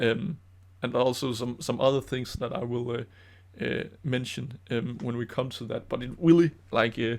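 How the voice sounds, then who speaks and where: A man with a Danish accent talks at a moderate pace and medium pitch, with ordinary pitch variation. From Denmark. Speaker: DIY maker and YouTuber. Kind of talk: casual commentary over own old video. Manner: halting, many fillers.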